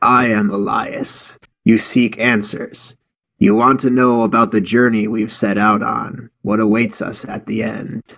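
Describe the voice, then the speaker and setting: A man puts on a raspy character voice with monotone, flat intonation. He talks at a fairly slow pace at a medium pitch. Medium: read story. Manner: slow, cryptic.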